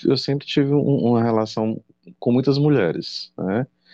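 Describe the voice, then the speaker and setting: A man with an ordinary speaking voice talks at a fairly slow pace with ordinary pitch variation. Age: 40s. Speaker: drag performer and crossdresser. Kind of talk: casual chat.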